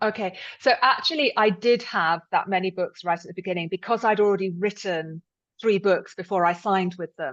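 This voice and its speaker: A woman with a British accent at a medium pitch and fairly quick pace, ordinary pitch variation, big swings in loudness, and a quiet background. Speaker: thriller novelist. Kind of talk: interview. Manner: halting.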